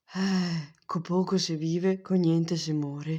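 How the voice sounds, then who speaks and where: In a put-on character voice at a middle pitch, the speaker talks calmly at a fairly slow pace with a flat, monotone delivery. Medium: fan dub. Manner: calm, fatalistic.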